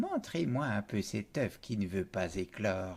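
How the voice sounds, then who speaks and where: A man's put-on character voice, fairly low in pitch and fairly slow in pace, on a very clean recording with a silent background. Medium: read story.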